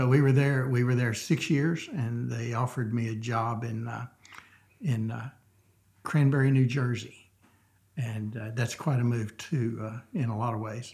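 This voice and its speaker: A man with a somewhat breathy voice at medium pitch talks at a moderate pace with fairly even intonation. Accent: Southern US. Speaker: church member sharing his story. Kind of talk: casual interview chat. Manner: halting, many fillers.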